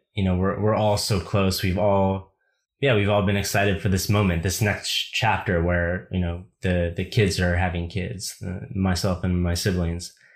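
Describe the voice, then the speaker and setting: This man has a very deep, low pitch and an American accent. He talks at a moderate pace. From United States. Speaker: writer. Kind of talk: casual chat. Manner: halting.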